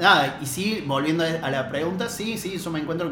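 A man speaks at a fairly quick pace with a fairly high pitch. There is noticeable background noise and audible room echo. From Argentina, La Rioja. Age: 30s. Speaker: DJ and cultural organizer. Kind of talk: casual chat.

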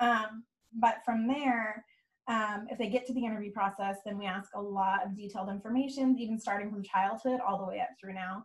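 Somewhat breathy and fairly high-pitched, a woman with a Californian accent speaks at a fairly quick pace with fairly even intonation. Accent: General Californian English. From California, Bay Area. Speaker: nonprofit youth program worker. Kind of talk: casual chat. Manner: fast.

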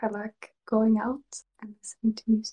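Dry and close with no echo, a woman's voice has a dark, mellow tone at a fairly high pitch. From Sweden. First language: Swedish. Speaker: ASMR creator. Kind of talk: whispered casual interview. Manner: giggly.

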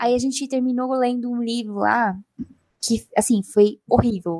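A woman with an ordinary speaking voice and a fairly high pitch speaks with fairly even intonation in a dry, close sound with no echo. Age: 20s. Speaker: podcast co-host and illustrator. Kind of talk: casual chat.

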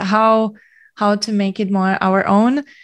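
Someone speaks with a German accent against a quiet background. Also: woman. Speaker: singer. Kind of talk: casual chat. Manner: giggly, hesitant with fillers.

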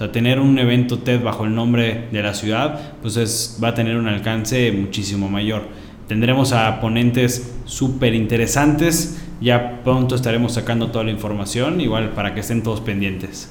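A man talks with fairly even intonation while noticeable noise fills the background. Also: medium pitch for a man, moderate pace. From Mexico. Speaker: podcast co-host, university co-founder. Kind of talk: casual chat.

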